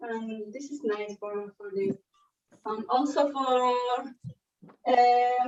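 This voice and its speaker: Speaking at a very slow pace with long, frequent pauses, a woman uses a high pitch with ordinary pitch variation and big swings in loudness. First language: Spanish. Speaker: fashion designer. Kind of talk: workshop demonstration. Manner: halting.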